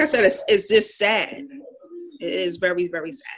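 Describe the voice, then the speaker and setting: A woman speaks with an American accent. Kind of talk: group discussion.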